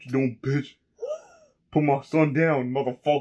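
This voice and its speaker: Using a put-on character voice, a man speaks at a moderate pace in a fairly high pitch with monotone, flat intonation. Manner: angry, confrontational.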